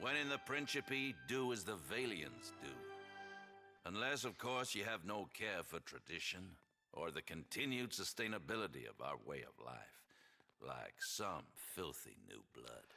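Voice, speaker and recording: Over music in the background, a man uses a raspy, put-on character voice with a Southern accent, at a medium pitch and a moderate pace. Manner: pompous, affected.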